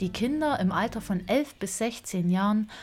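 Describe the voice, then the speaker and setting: Very slow, somewhat breathy speech from a woman. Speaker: podcast host. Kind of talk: podcast narration. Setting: outdoors.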